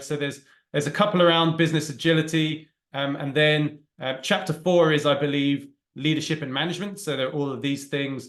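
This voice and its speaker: A man with a British accent talks at a fairly quick pace in a fairly high pitch. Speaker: agile coach and trainer. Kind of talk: talk with Q&A. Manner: fast.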